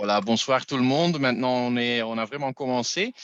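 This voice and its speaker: A man speaks with a non-native accent. The sound is dry and close with no echo, and the background is quiet. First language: not French (speaking French). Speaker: masterclass host. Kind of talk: online tasting masterclass. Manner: halting.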